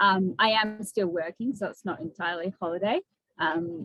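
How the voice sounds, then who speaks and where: A woman talks with an Australian accent at a moderate pace. Her pitch is medium and her intonation fairly even. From Western Australia, small country town. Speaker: ultra runner and climber. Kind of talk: casual interview. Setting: video call.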